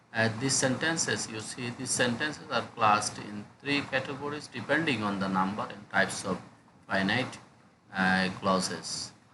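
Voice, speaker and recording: A medium-pitched male voice amid noticeable background noise and audible room echo. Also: ordinary pitch variation, moderate pace. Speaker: English lecturer. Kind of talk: lecture. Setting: screen recording. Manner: hesitant with many fillers.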